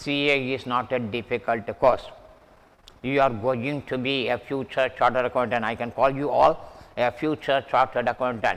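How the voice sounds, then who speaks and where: A man with an Indian accent, medium in pitch and monotone, flat in intonation. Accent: Indian English, self-noted. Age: 70s. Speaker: math teacher. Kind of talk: lecture. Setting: online class recording with mic.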